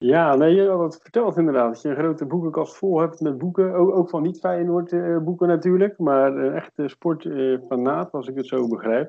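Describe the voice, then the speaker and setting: A man with an ordinary speaking voice, a fairly high pitch, ordinary pitch variation and a moderate pace. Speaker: podcast host. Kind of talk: casual interview.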